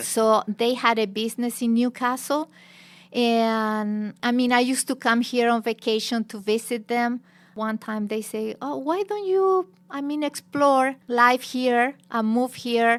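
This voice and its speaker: A woman with a Chilean Spanish accent speaks at a fairly slow pace with a high pitch. Her pitch variation is ordinary, and the recording is very clean, with a silent background. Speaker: teacher and former journalist. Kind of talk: interview.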